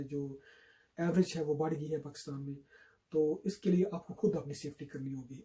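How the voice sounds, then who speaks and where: Speaking at a moderate pace with a Pakistani accent, a man has a fairly high pitch and a dark, mellow tone. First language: Urdu. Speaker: YouTuber. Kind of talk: public health appeal in Urdu to camera.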